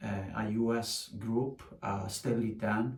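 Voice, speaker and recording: A man's somewhat breathy, medium-pitched voice with an Italian accent, very slow and fairly even in intonation, with audible room echo. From Sardinia, Italy. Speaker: musician. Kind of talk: casual chat. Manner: halting, many filler sounds.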